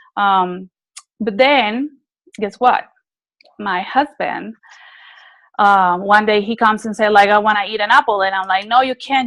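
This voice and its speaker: The sound is dry and close, with no echo. A woman with a fairly high pitch talks at a moderate pace. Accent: non-native. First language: not English. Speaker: network marketing distributor sharing testimony. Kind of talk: testimony. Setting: group call.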